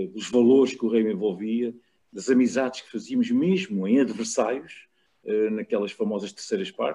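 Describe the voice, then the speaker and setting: This man talks at a moderate pace. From Portugal, Lisbon. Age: 60s. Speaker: rugby journalist and former player. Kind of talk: casual chat.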